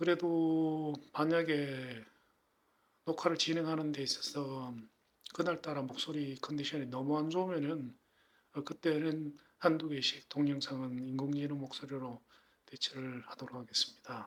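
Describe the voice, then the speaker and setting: This man has a fairly high pitch. He speaks at a fairly slow pace. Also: fairly even intonation. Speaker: woodworker. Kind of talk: product review.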